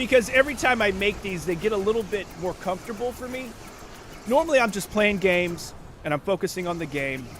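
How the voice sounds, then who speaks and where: A man talks very fast and loud in a high voice, his tone animated and his intonation lively. Noticeable background noise runs underneath. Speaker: livestreamer. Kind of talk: casual chat. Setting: livestream from home.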